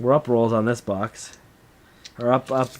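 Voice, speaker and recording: At a fairly slow pace, a man speaks with a medium pitch over noticeable background noise. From Canada, Niagara region, Ontario. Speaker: coin roll hunting streamer. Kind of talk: live stream chat while sorting coins. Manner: casual, swears a lot; halting, repeats words.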